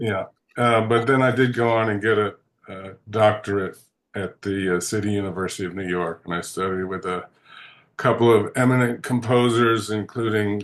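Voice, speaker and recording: Against a quiet background, a man with a fairly low pitch and fairly even intonation speaks at a moderate pace. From US, Washington DC. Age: 60s. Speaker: composer. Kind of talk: interview. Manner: halting, many fillers.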